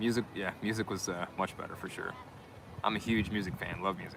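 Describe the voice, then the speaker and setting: Spoken in an American accent with a relaxed tone and fairly even intonation, the clip carries noticeable background noise. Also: man. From US Midwest, Michigan. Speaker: live streamer, van dweller. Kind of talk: casual live stream chat. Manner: relaxed, hesitant with fillers.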